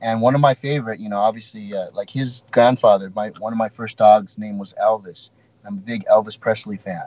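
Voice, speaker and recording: Medium-pitched male speech at a fairly quick pace, fairly even in intonation, with big swings in loudness. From California, Ventura County. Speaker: bodybuilding champion and coach. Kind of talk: interview. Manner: halting.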